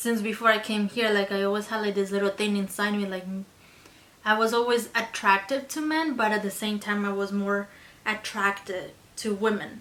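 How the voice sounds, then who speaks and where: At a moderate pace, a woman with a Spanish accent speaks in a medium pitch with fairly even intonation. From Colombia. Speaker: beauty vlogger. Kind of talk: casual chat.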